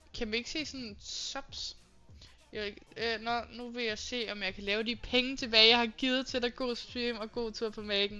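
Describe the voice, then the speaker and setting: Music plays in the background as a woman speaks. Her fairly high voice keeps a fairly even intonation. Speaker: live streamer. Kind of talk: casual live stream chat with viewers.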